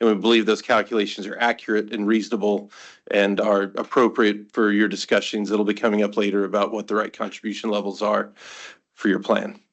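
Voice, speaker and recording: This man's fairly low voice stays monotone and flat as he moves at a fairly quick pace. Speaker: actuary presenting audit results. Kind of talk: formal presentation at board meeting. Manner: loud.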